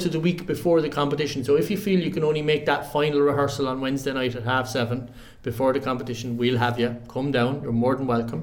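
Speaking at a very fast pace, a man with an Irish accent has a fairly high pitch. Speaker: choral society member.

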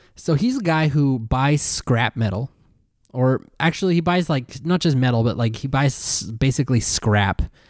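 On a very clean recording with a silent background and a dry, close sound with no echo, a man with a normal speaking voice talks at a medium pitch and moderate pace with ordinary pitch variation. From Canada. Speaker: podcast co-host. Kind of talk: casual chat.

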